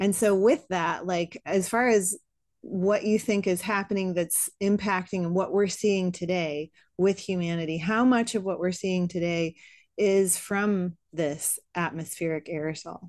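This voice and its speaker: A woman's plain, everyday voice, medium in pitch, with fairly even intonation and a fairly slow pace against a quiet background. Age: 40s. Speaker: fitness podcast host. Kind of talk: podcast interview.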